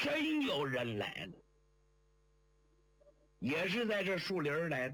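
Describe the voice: A man speaks slowly in a fairly high pitch, his fairly bright tone carried by very wide pitch swings.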